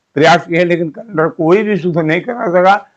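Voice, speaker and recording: This man speaks in a high pitch with ordinary pitch variation. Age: 80s+. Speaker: independent calendar researcher. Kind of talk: explanatory monologue. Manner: halting, with self-corrections; emphatic, challenging.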